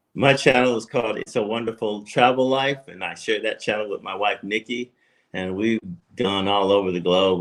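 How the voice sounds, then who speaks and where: Against a quiet background, a man with an unremarkable speaking voice talks at a moderate pace, with a fairly low pitch and ordinary pitch variation. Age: 60s. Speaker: retiree and travel YouTuber. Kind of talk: casual chat.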